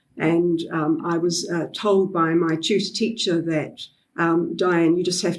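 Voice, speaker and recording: Speaking at a moderate pace, a woman with a New Zealand accent has a fairly low pitch. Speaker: literacy educator and author. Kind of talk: podcast interview. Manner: hesitant, many fillers.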